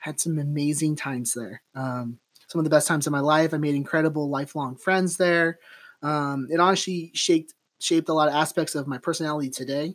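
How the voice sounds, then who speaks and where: On a very clean recording with a silent background, a man speaks in an unremarkable speaking voice. His pitch is fairly high and his pace fairly quick. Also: fairly even intonation. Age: 30s. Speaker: podcast host and realtor. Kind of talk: casual interview chat. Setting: guest's office.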